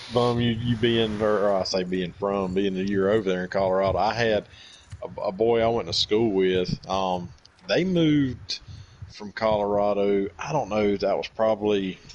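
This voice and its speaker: A man's fairly low voice with a Southern US accent, fairly even intonation and a moderate pace. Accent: country Southern. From US South, Georgia. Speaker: gamer streaming with friends. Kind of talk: casual chat. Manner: halting, many fillers.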